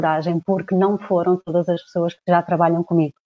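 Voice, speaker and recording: Her voice sits fairly low for a woman, and her intonation stays monotone and flat. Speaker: coach. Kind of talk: livestream talk to followers. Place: home room. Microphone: earbuds.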